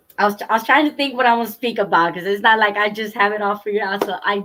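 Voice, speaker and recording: A woman's bright, sharp voice at medium pitch, with a non-native accent, ordinary pitch variation and a very fast pace. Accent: foreign. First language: not English. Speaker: trauma recovery coach. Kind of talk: talk show conversation. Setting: YouTube livestream. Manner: halting.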